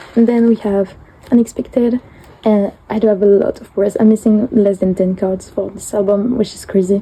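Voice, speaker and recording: A woman with a French accent speaks at a moderate pace in a medium pitch, her intonation fairly even. Her loudness swings widely, and noticeable background noise runs underneath. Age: 20s. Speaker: collector vlogger. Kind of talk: show-and-tell flip through. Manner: halting, many fillers.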